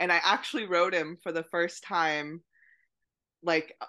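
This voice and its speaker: Against a quiet background, a woman with a fairly low pitch and a bright, sharp tone speaks at a fairly slow pace. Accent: American. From US, Maine. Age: 30s. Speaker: horse rehabilitation trainer. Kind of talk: interview.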